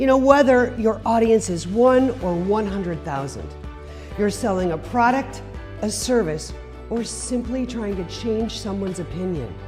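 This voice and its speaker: Medium pitch and ordinary pitch variation from a woman at a moderate pace, music in the background. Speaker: fundraising auctioneer and motivational speaker. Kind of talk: motivational speech to an audience.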